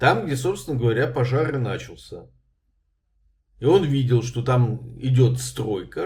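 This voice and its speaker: A man's medium-pitched voice with vocal fry, a fairly slow pace and long, frequent pauses. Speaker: journalist and video blogger. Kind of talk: legal explainer vlog. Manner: conversational with hesitations.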